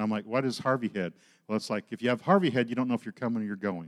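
In a very clean recording with a silent background, a man with an American accent talks at a very fast pace, using medium pitch and ordinary pitch variation. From Oklahoma. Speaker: ministry leader. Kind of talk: sermon.

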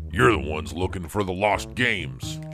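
A man does a gruff, put-on character voice at a very deep, low pitch. Clear music plays in the background. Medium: audio drama. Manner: gruff, stingy.

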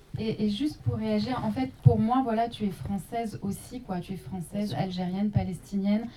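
A woman's medium-pitched voice at a moderate pace, with very wide pitch swings and noticeable background noise. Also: hardly any pauses. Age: young. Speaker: journalist and documentary maker. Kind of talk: post-screening panel discussion.

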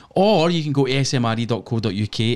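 A man with a Scottish accent. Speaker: podcast host. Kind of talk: casual chat, live stream. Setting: home studio with headphones, live stream. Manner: swears casually, jokey.

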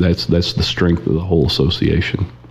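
A man with a very deep, low voice and an Oklahoma accent. He talks at a fairly quick pace over noticeable background noise. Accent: Oklahoma rural US. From Oklahoma, Osage County. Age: 40s. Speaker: cattle theft investigator. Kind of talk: casual interview.

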